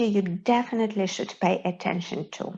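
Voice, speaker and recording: A somewhat breathy voice with a Belarusian accent against a quiet background. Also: woman. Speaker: English pronunciation teacher. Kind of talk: tutorial.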